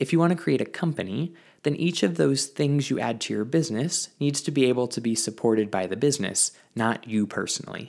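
An unremarkable speaking voice moves at a fairly quick pace with lively intonation on a very clean recording with a silent background. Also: man, medium pitch for a man. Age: 20s. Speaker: baker and small business owner. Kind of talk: solo podcast monologue.

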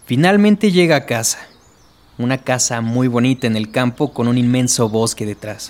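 At a moderate pace, an unremarkable speaking voice moves with lively intonation. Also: man, medium pitch for a man. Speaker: creepypasta storyteller. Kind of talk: horror story narration, bedtime ghost-story style, scripted reading.

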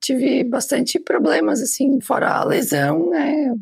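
Over noticeable background noise, a woman speaks at a fairly slow pace while her pitch swings very widely. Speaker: administrative assistant. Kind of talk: testimony.

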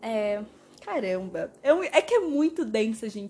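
Animated, somewhat breathy woman at a fairly high pitch, with very wide pitch swings and a fairly slow pace. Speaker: podcaster reviewing films. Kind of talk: casual monologue. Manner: animated, chatty.

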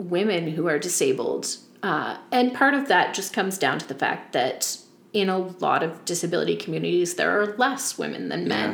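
A woman's voice, with noticeable background noise and audible room echo. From Nova Scotia, Yarmouth County. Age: 30s. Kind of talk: casual interview. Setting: in person on a couch.

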